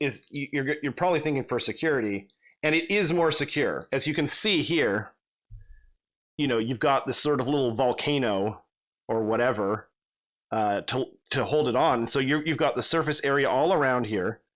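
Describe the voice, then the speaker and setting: Fairly high in pitch, a man speaks at a moderate pace with ordinary pitch variation. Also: very clean recording, silent background. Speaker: miniatures hobby youtuber. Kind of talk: tutorial. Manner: halting, many fillers.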